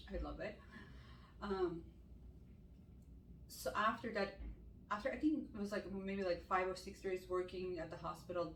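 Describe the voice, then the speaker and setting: A woman with a non-native accent at a moderate pace, with long, frequent pauses and audible room echo. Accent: non-native English, still learning. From Armenian from Iran. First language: Armenian. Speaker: ICU nurse and med spa owner. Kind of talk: casual Q&A chat.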